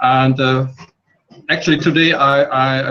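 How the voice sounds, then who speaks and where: A man's medium-pitched voice with a bright, sharp tone, a German accent and a moderate pace. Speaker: online business member. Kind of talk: casual chat. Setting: video call.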